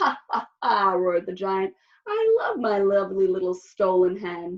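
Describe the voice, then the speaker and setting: This is a put-on character voice, female-sounding, booming and bellowing. It sits at a medium pitch and keeps a moderate pace. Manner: roaring, booming.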